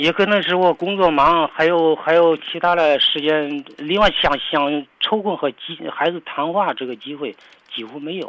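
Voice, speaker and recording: A man's fairly high voice at a fairly slow pace, with hardly any pauses, ordinary pitch variation and big swings in loudness. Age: 60s. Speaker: caller, retired factory worker and former soldier. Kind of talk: phone-in advice call. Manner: halting.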